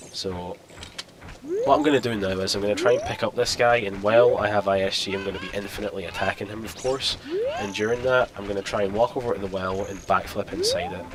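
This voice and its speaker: Noticeable background noise sits behind a man who talks very fast with a fairly low pitch and fairly even intonation. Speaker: gaming YouTuber. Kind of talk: let's play gameplay commentary. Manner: casual, explanatory.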